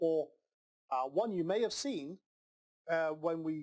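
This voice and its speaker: The voice belongs to a man with a high pitch. His intonation is lively. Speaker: online marketing coach. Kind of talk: tutorial. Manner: animated.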